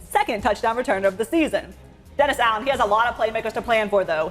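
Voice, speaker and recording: The delivery is very fast, with lively intonation. Music plays in the background. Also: woman. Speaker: sports reporter and anchor. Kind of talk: sports broadcast anchoring.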